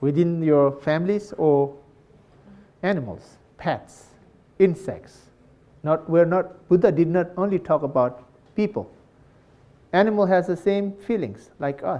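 Pausing long and often, a man speaks at a fairly slow pace in a high pitch with a dark, mellow tone. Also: ordinary pitch variation. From Nepal. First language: Tibetan. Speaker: Buddhist monk. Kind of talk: dharma talk to live audience. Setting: hall with live audience, microphone. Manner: halting; playful, laughs often.

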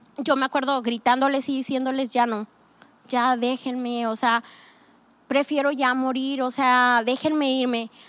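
Speaking at a fairly slow pace, a woman with a high pitch keeps a monotone, flat intonation on a very clean recording with a silent background. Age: 30s. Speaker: pastor. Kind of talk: testimony.

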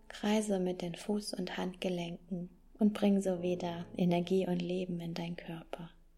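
Speaking at a fairly slow pace, a woman has a dark, mellow, calm, soothing tone, somewhat breathy at a medium pitch, with monotone, flat intonation. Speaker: pastor. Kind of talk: guided meditation with affirmations. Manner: slow, calm and soothing, with long pauses; gentle, warm and unhurried.

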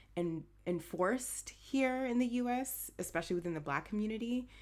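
With an American accent, a woman has a normal speaking voice, lively intonation, and a moderate pace on a very clean recording with a silent background. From Haitian American, US. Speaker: podcast co-host. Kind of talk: casual chat.

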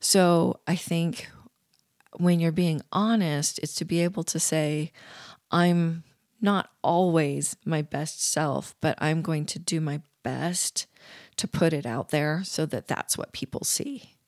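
A woman with an American accent at a fairly low pitch and ordinary pitch variation, very slow, in a dry, close sound with no echo on a very clean recording with a silent background. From US Pacific Northwest (Eugene, Oregon). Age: 50s. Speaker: storyteller. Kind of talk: interview. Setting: recording at night in a cold basement.

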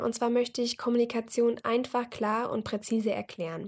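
Speaking in an unremarkable speaking voice, a woman uses a fairly high pitch at a moderate pace. The recording is very clean, with a silent background. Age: 20s. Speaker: podcast host, university student. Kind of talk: solo podcast introduction. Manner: casual with frequent fillers.

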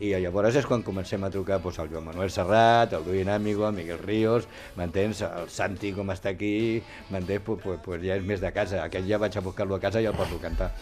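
Over background music, a man speaks at a fairly quick pace with a fairly low pitch. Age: old. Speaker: singer. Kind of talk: interview. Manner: animated.

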